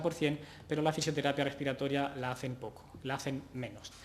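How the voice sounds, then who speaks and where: With noticeable background noise and audible room echo, a man with a fairly high pitch speaks very fast in a monotone, flat intonation. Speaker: physiotherapist, conference speaker. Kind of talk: conference talk. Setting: conference stage with audience. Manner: hesitant, many fillers.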